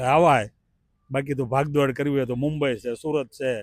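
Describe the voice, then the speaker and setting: A man speaks in an unremarkable speaking voice. His pitch is fairly high. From India, rural Bhavnagar district (Vallabhipur). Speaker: interviewed local resident. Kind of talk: street interview. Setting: outdoors in a park.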